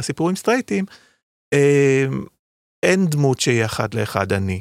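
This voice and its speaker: A very clean recording of a man, his pitch swinging very widely against total silence. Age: 60s. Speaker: author. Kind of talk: casual chat.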